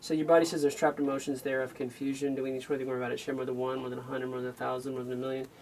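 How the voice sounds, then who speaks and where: The speech runs at a very fast pace, with ordinary pitch variation and light background noise. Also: man. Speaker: energy healing call-in host. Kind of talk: call-in show talk with a caller. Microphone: phone near.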